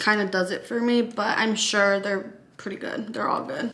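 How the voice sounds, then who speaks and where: The woman talks at a moderate pace in a monotone, flat intonation. There is light background noise. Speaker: lifestyle vlogger. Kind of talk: casual vlog chat. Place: kitchen. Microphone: camera far.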